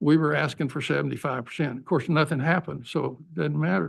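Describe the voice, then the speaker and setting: Vocal fry runs through a man's speech, heard over a quiet background. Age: 70s. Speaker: war veteran speaking at public comment. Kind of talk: public comment at council meeting. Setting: council chamber.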